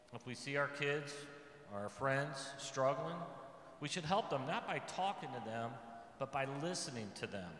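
A man's medium-pitched voice with an American accent, lively intonation and a moderate pace, amid light background noise and audible room echo. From Missouri. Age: 50s. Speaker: ice cream shop owner; speaker. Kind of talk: retreat talk to teens. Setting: church with audience. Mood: earnest, reflective. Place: church. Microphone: podium.

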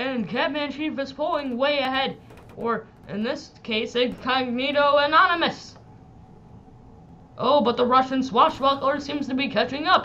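A man puts on a character voice, excited and extremely high-pitched. He keeps a moderate pace, broken by long, frequent pauses. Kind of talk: race caller commentary. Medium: game stream. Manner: excited, building to triumphant shouting.

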